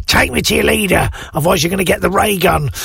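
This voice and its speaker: A man puts on a character voice. He talks at a very fast pace. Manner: mock-threatening, comic.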